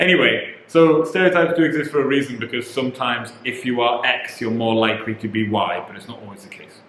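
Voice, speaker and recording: Audible room echo and noticeable background noise surround a man's speech. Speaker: vlogger, husband in married couple channel. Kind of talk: casual chat.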